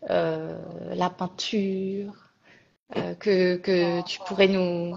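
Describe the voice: The voice has a slightly mellow tone and fairly even intonation. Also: woman.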